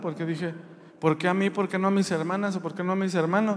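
With fairly even intonation, a man talks in a high voice. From Mexico, rural Jalisco area. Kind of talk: religious testimony. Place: church. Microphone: handheld.

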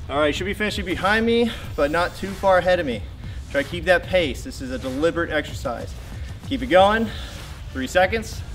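Faint music plays in the background. A man talks at a fairly quick pace. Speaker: fitness trainer. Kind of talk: workout instruction. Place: garden.

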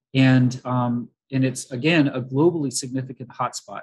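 The background is quiet as a man speaks. His medium pitch has ordinary variation. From US South, Florida panhandle. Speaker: biology professor. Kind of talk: lecture. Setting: talk with slides for live audience. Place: home room. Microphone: video call.

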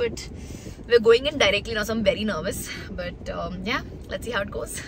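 A woman at a fairly quick pace with ordinary pitch variation, dry sound with no echo, and noticeable background noise. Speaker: vlogger. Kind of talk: casual vlog chat. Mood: nervous, excited. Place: car. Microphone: phone near.

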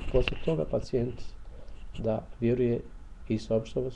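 A man at a moderate pace. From Bosnia and Herzegovina, Mostar. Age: 50s. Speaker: bioenergy healer. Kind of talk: promotional monologue. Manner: halting.

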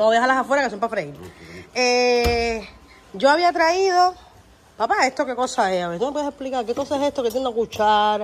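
A woman speaks very fast in an animated tone with a high pitch, over light background noise. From Cuba. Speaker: family vlogger; vlogger. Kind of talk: casual vlog chat. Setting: at family home. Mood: teasing, complaining. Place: kitchen. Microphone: phone near.

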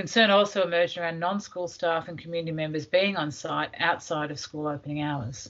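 At a fairly quick pace, a woman talks in an ordinary speaking voice.

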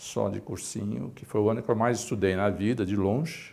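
A man's fairly low-pitched voice. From São Paulo, East Zone (Brazil); São Paulo, Brazil. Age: 60s. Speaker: physician and medical association director. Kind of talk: interview testimony. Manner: halting, many fillers. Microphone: lapel.

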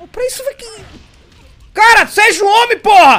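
At a moderate pace, a man uses a raised, projected voice with an extremely high pitch. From Brazil. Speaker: gamer. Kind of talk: angry rant while gaming. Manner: loud, exasperated; animated, cursing, sarcastic. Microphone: headset.

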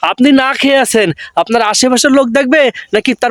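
An extremely high-pitched male voice with ordinary pitch variation. The sound is dry and close, with no echo. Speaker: YouTuber. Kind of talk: vlog commentary.

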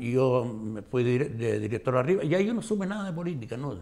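Against a quiet background, the voice moves at a moderate pace with very wide pitch swings. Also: man. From Canary Islands, Gran Canaria (La Aldea de San Nicolás); Canary Islands. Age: old. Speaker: retired schoolteacher. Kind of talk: interview. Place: studio.

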